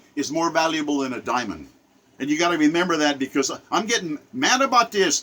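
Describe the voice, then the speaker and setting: The speaker sounds animated, with very wide pitch swings at a fairly quick pace. Noticeable background noise runs underneath. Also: man. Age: 70s. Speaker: political commentator. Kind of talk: rant monologue.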